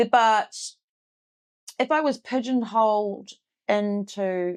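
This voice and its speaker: With a New Zealand accent, a woman speaks at a fairly high pitch with ordinary pitch variation in a very clean recording with a silent background. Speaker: heavy metal vocalist and tattoo artist. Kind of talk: interview answer. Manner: casual.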